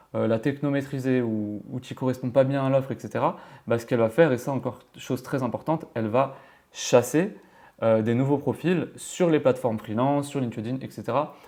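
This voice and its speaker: There's a dark, mellow tone to this man's voice as he speaks at a fairly quick pace with fairly even intonation, in a very clean recording with a silent background. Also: medium pitch for a man. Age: 20s. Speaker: freelance developer and tutorial youtuber. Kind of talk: tutorial. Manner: casual with many hesitations.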